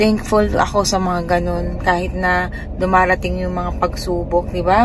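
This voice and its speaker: Audible room echo on a woman's voice, plus background music. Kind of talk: casual vlog talk.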